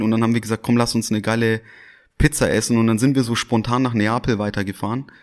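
A man talks at a very fast pace. The recording is very clean with a silent background. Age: 30s. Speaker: restaurant owner. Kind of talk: casual interview. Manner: hesitant, repeats words.

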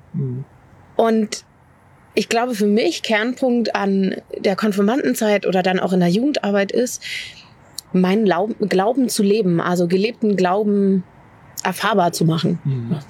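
Over noticeable background noise, a woman speaks at a very even loudness, pausing long and often. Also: medium pitch for a woman, ordinary pitch variation, fairly slow pace. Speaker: pastor. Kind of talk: casual interview chat.

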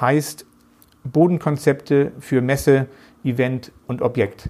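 A man's fairly high voice, ordinary in its pitch variation, with a northern German accent. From northern Germany, Geesthacht near Hamburg. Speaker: managing director of a flooring company. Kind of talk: interview.

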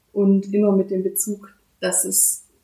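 With a medium pitch and a dark, mellow tone, the woman's voice sounds somewhat breathy. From Baden-Württemberg, Germany (Bad Mergentheim, Fellbach). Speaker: regional development worker. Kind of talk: interview.

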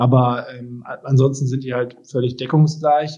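A man's unremarkable speaking voice, medium in pitch, with fairly even intonation and a moderate pace. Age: 30s. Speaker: tech company executive. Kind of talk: interview. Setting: home office, remote call.

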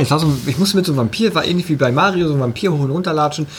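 A man is heard talking over noticeable background noise. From eastern Germany. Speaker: podcast co-host. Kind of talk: casual chat. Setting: studio.

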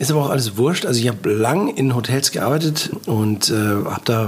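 A man is speaking at a medium pitch. Noticeable background noise runs behind him. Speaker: podcast host, hotel professional and food blogger. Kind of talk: casual chat. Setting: studio.

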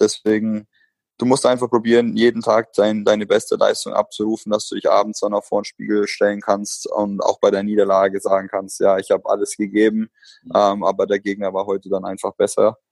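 Fairly brisk speech from a man, dry and close with no echo. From Germany, Bamberg (Franconia). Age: 30s. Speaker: professional basketball player. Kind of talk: interview. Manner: hesitant, many filler sounds.

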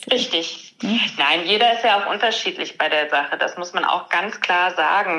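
Fairly slow speech from a woman over noticeable background noise. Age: 30s. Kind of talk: interview.

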